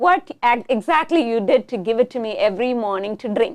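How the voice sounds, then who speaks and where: A woman with a Tamil accent, high-pitched, with very wide swings in pitch and a fairly slow pace. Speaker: talk show host. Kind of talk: casual chat.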